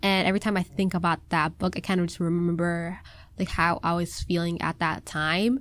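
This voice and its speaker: The recording is very clean with a silent background, and a woman speaks in a Minnesota accent at a moderate pace. Her loudness is very even and her intonation fairly even. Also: fairly low pitch for a woman. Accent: Minnesotan American English. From US Midwest, Minnesota. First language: Somali. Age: 20s. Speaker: college student. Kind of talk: casual chat.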